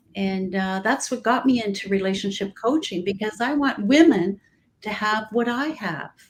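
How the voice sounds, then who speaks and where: A woman's fairly high, somewhat breathy voice at a fairly slow pace, with lively intonation. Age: 60s. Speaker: relationship coach. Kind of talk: casual chat. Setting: live stream.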